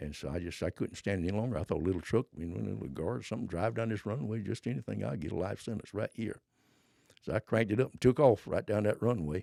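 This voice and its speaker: Speaking very fast with a Southern US accent, a man uses lively intonation, a fairly low pitch, a dark, mellow tone and vocal fry, in a dry, close sound with no echo. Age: 80s+. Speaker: former drug smuggler. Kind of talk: casual interview storytelling.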